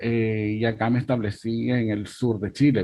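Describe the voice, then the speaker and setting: This is a man's voice. He speaks with a Venezuelan accent. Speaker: migrant rights activist. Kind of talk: panel discussion.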